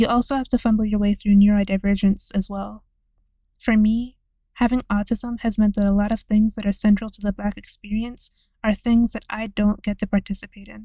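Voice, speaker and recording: Over a silent background in a very clean recording, a somewhat breathy voice with a dark, mellow tone speaks at a fairly quick pace in a flat monotone, the sound dry and close with no echo. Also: woman. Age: 20s. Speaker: video essayist. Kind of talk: scripted narration.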